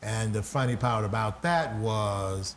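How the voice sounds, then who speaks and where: Audible room echo surrounds a man at medium pitch. His voice is somewhat breathy, with ordinary pitch variation. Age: 60s. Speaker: pastor and talk show host. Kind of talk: interview conversation.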